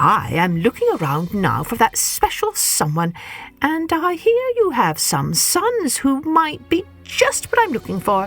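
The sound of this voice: In a put-on character voice, a woman speaks at a fairly slow pace with few pauses, a fairly high pitch, very wide pitch swings and a fairly bright tone, with faint music in the background.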